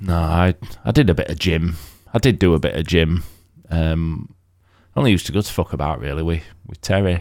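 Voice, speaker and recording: A man with a very deep, low pitch and vocal fry, fairly quick but with long, frequent pauses and ordinary pitch variation. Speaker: podcast host and ex-military. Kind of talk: casual chat. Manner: swearing, casual, joking.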